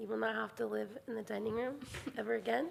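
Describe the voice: A woman puts on a character voice that is hoarse and raspy, pitched fairly high.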